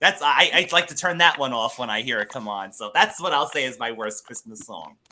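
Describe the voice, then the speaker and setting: Bright and sharp in tone, a man with a New York accent talks at a fairly quick pace, his pitch swinging very widely and his loudness shifting in big swings. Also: medium pitch for a man. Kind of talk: casual chat.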